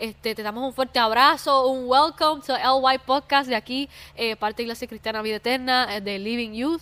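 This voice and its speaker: At a moderate pace and with hardly any pauses, a woman with a Puerto Rican accent speaks at high pitch in a bright, sharp tone. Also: fairly even intonation. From Puerto Rico. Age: 20s. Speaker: church youth podcast host. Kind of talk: casual faith chat.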